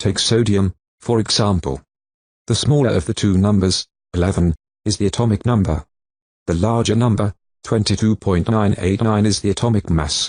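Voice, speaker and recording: A man with a British accent speaks at a moderate pace, his pitch fairly low with ordinary variation. The sound is dry and close with no echo, over a quiet background. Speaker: lesson introducer. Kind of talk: lesson introduction.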